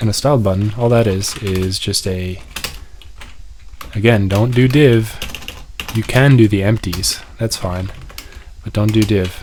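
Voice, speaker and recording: The speech has long, frequent pauses. Noticeable background noise is present. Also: fairly slow pace. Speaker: programming tutorial creator. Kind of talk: tutorial. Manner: casual, unscripted rambling.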